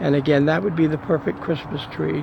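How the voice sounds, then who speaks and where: Noticeable background noise under a man's fairly high pitch. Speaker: video blogger. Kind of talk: casual narration of home video. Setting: outdoors. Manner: quiet, hushed.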